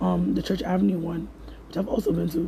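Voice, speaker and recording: A man speaks over noticeable background noise. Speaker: podcast host. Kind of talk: casual podcast monologue listing resources. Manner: fast.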